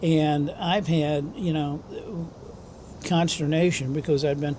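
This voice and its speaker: Speaking at a fairly slow pace with a fairly high pitch and an American accent, a man keeps his intonation fairly even amid audible room echo. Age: 70s. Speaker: retired manager, interviewee. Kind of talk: street interview. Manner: halting, many fillers.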